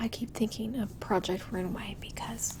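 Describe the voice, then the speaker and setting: Noticeable background noise fills the clip. A woman whispers at a fairly slow pace. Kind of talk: ASMR chat while going through yarn stash. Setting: home recording with a little echo. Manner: soft-spoken, whispered.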